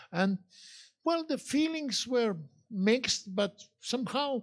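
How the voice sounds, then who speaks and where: A man with a Croatian accent speaks at a fairly slow pace, his pitch swinging very widely. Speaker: journalist, interviewer. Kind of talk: on-stage interview. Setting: stage with audience at a fortress.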